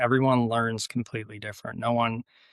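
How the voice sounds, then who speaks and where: A man with an American accent speaks at a medium pitch. The recording is very clean with a silent background, and the sound is dry and close with no echo. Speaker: rally driving instructor and motorsport marketing manager. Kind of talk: podcast interview. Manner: calm.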